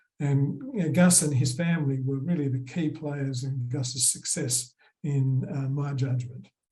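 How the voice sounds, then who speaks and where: With an Australian accent, a man talks at a fairly slow pace in a fairly high pitch, his tone dark and mellow, somewhat breathy, with fairly even intonation. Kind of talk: conference presentation.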